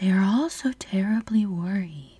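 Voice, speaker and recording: In a put-on character voice that sounds female, she talks at a moderate pace with a medium pitch. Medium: read story.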